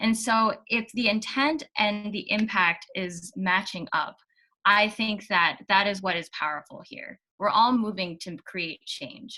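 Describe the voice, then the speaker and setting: Bright and sharp in tone, a woman speaks at a fairly slow pace with big swings in loudness. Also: medium pitch for a woman, ordinary pitch variation. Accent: American. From US, Virginia. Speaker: guest speaker on a social cause. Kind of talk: conversational interview. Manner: many fillers and restarts.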